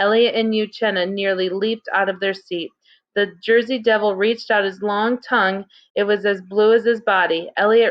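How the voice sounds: A natural reading voice with fairly even intonation comes through against a quiet background.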